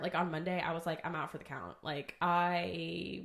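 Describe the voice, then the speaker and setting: The voice has an animated tone and vocal fry, moving at a fairly slow pace. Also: woman. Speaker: podcast co-host. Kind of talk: casual chat.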